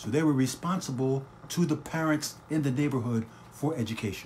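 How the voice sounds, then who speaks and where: A man with an American accent, somewhat breathy, at a medium pitch with ordinary pitch variation and a moderate pace. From Trenton / Northeast Philadelphia area, US. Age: 60s. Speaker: podcast host. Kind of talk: live-streamed podcast monologue. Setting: home kitchen, live broadcast.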